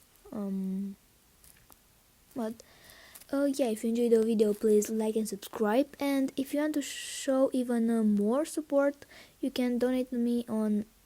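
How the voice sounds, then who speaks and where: A woman with a non-native accent speaks at a fairly slow pace with long, frequent pauses, using a high pitch, a dark, mellow tone and ordinary pitch variation, on a very clean recording with a silent background. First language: not English. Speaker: gaming YouTuber. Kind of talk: gameplay commentary. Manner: halting, many fillers; excited reactions.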